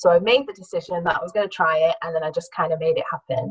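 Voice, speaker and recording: In a northern English accent, a woman of medium pitch talks with ordinary pitch variation, the sound dry and close with no echo. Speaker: career change speaker, former theatre producer. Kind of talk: talk to an audience. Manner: hesitant, with fillers and restarts.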